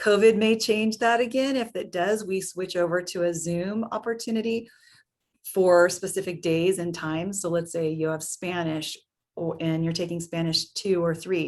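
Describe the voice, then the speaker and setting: A woman has a plain, everyday voice in a medium pitch. She speaks at a moderate pace with ordinary pitch variation. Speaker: program administrator presenting to parents. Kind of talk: webinar presentation.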